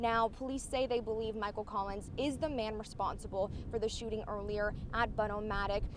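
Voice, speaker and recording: The speech moves at a fairly quick pace with fairly even intonation. It is a normal speaking voice. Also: woman, fairly high pitch for a woman. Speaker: TV news reporter. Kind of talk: TV news report.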